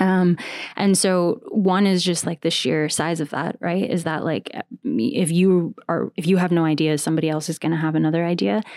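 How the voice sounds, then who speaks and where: A woman with an American accent speaks in a fairly low voice at a moderate pace. It is an ordinary speaking voice with ordinary pitch variation. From US. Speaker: podcast network founder and host. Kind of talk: casual interview chat. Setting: video call.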